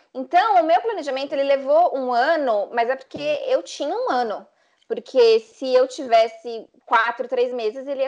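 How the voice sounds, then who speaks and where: This woman has a high-pitched voice. Her pitch rises and falls in an ordinary way. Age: 20s. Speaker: travel influencer. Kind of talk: casual chat.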